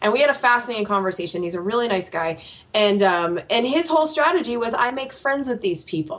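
With an American accent, a woman speaks at a fairly quick pace over noticeable background noise. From United States. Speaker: political podcast host. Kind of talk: interview.

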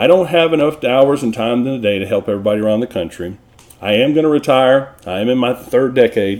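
With a Texan accent, a man talks at a very fast pace with ordinary pitch variation. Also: medium pitch for a man. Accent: Texan (US Southern). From Texas. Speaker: workers' compensation consultant and podcast host. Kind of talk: educational tutorial.

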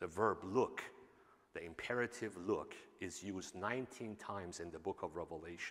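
A man with a Persian accent at a moderate pace. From Iran. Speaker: pastor. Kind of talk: sermon. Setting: church.

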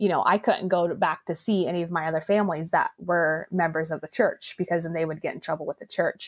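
A woman with an unremarkable speaking voice, fairly low in pitch, talks at a fairly quick pace with fairly even intonation, recorded very cleanly over a silent background with a dry, close sound and no echo. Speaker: powerlifter and business coach. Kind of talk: casual interview.

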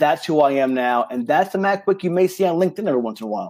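A man speaks with lively intonation and an American accent. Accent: slight New York accent, stronger when excited. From New York. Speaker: retired army career counselor, career coach. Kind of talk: casual interview. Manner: fast; animated.

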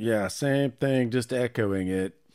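The recording is very clean and the background silent. A man talks with ordinary pitch variation. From Charlotte, North Carolina. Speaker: podcast co-host. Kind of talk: casual chat. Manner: laughs often.

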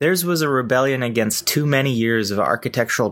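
An unremarkable speaking voice is captured in a very clean recording with no background sound at all. Its tempo is moderate and its pitch moves in a typical way. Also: man. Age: 30s. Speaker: design podcast host. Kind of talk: scripted monologue.

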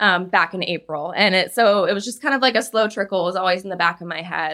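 Intonation here is fairly even. The voice is an ordinary speaking voice. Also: woman. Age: 30s. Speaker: fitness instructor. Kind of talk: casual chat.

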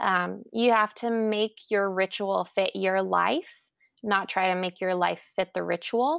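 This woman has a plain, everyday voice, medium-pitched with ordinary pitch variation, and talks at a fairly slow pace. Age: 30s. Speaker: journaling enthusiast interviewee. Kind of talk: casual interview.

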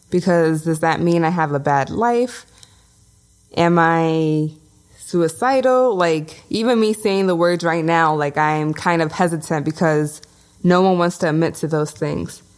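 A woman with a New York accent talks at a fairly slow pace, her pitch fairly low and its variation ordinary. Her loudness stays very even, and the recording is very clean with a silent background. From Brooklyn, New York (Bushwick). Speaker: podcast co-host. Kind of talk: casual chat.

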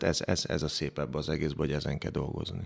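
On a very clean recording with a silent background, a man talks at a moderate pace. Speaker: retired water polo player. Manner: hesitant, repeats words.

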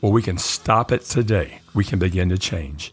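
This man's somewhat breathy voice has lively intonation. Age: 70s. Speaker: therapist and faith podcast host. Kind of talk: solo podcast teaching monologue.

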